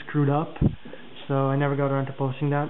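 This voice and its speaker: There is audible room echo and noticeable background noise as a man speaks in a fairly high voice. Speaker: knife reviewer. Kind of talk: product review video. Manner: fast; casual with many fillers.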